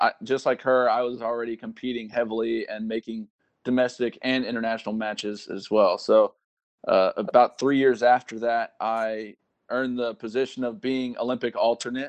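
A man with an unremarkable speaking voice and an American accent speaks at a medium pitch and a moderate pace. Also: dry, close sound with no echo. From Texas. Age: 20s. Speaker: army soldier and Olympic sport shooter. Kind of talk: interview.

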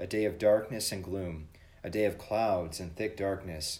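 The voice is somewhat breathy with fairly even intonation. Its pace is moderate. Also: man. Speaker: church podcast host leading devotion. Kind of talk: devotional with prayer and scripture reading; fervent prayer, earnest and reverent. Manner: formal, warm.

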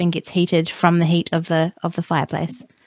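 A woman at a fairly quick pace, in a dry, close sound with no echo. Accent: New Zealand. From New Zealand. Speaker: podcaster living off the grid. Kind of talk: casual interview chat. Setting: remote call.

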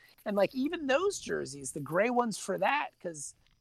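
A man talks at a moderate pace. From Virginia Beach, Virginia, US. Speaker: comic book writer. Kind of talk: casual chat. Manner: unusual cadence today.

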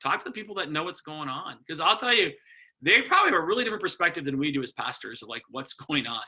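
A man's fairly high, bright and sharp voice in an Upper Midwest accent, very fast pace and lively intonation. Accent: Upper Midwest American. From US Midwest, Wisconsin. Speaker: rural pastor. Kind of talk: casual chat.

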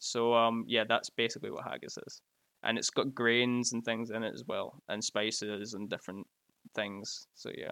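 A man with a Glasgow accent speaks at a moderate pace in a bright, sharp tone with monotone, flat intonation. His loudness swings widely, and the sound is dry and close with no echo. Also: medium pitch for a man. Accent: Scottish, Glasgow. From Scotland. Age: 20s.

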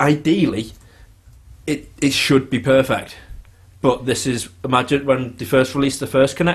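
Somewhat breathy, a man talks at a fairly quick pace. His pitch is medium. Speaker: podcast host. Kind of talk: casual chat.

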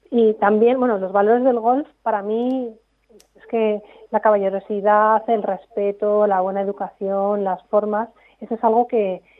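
A woman speaks slowly-ish at a fairly high pitch, her intonation fairly even. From Spain, Segovia. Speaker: performance coach. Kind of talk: interview.

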